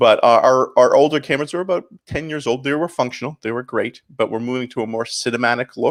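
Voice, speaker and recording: The speaker has a slight Canadian accent. The recording is very clean, with a silent background. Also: man. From Canada, St. Catharines, Ontario. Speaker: pastor. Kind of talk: interview.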